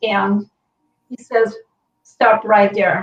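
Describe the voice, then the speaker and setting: A woman with a French Canadian accent talks at a fairly slow pace. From Quebec, Montreal. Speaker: healing practitioner, author. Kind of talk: personal testimony in interview.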